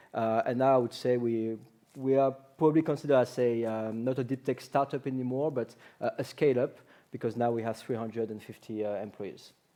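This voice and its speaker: A man with a strong French accent speaks at a fairly quick pace in a medium pitch, his dark, mellow tone carried by fairly even intonation. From France. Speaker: company representative. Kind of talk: panel discussion.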